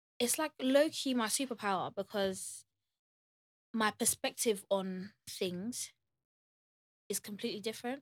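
In a London accent, a woman speaks at a fairly slow pace with a fairly high pitch, ordinary pitch variation and long, frequent pauses, on a very clean recording with a silent background and a dry, close sound with no echo. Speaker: singer-songwriter. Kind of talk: casual chat.

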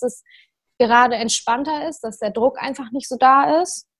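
In a very clean recording with a silent background, a woman speaks in a normal speaking voice at a moderate pace with ordinary pitch variation. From northern Germany, Lower Saxony near Hamburg. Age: 20s. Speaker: CrossFit athlete. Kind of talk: casual chat.

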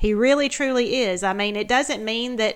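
A woman speaks with a Southern US accent. Her pitch is fairly high. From US South. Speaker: podcast guest, mother of co-host. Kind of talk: casual chat.

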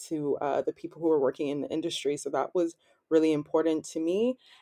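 In a Canadian accent, a woman speaks with a very deep, low pitch and a dark, mellow tone. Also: quiet background. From Canada, Ottawa. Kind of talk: interview.

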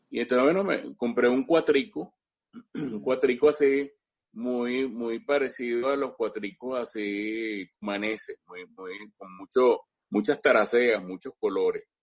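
A man with a Caracas accent speaks at a very slow pace. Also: medium pitch for a man, ordinary pitch variation, big swings in loudness. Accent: Venezuelan Spanish (Caracas). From Venezuela, Caracas. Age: 60s. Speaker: cuatro musician and instrument historian. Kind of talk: interview, casual storytelling. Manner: halting, many repetitions and fillers.

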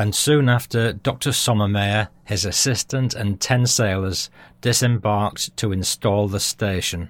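A man with a British accent and a fairly low pitch, at a moderate pace. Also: dry, close sound with no echo, very clean recording, silent background. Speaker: history podcast host. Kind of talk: scripted narration.

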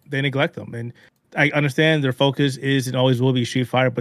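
With a normal speaking voice, a man talks at a fairly quick pace in a medium pitch and fairly even intonation, the sound dry and close with no echo on a very clean recording with a silent background. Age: 40s. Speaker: video game and technology journalist. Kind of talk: casual chat.

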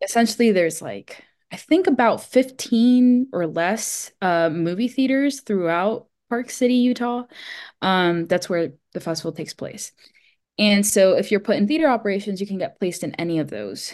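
A woman with an American accent uses a normal speaking voice at medium pitch. She talks at a moderate pace with lively intonation against a quiet background. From US, Miami, Florida. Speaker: screenwriter and filmmaker. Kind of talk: casual chat.

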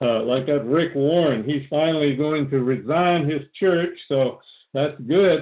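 A man with a plain, everyday voice speaks at a fairly high pitch and moderate pace, his intonation fairly even. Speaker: deliverance preacher. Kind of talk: sermon. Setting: phone call.

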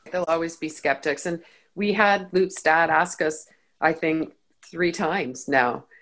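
A woman speaks fairly slowly with a Canadian accent. Her pitch is fairly low, with ordinary pitch variation. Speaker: podcaster. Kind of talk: casual interview. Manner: humorous.

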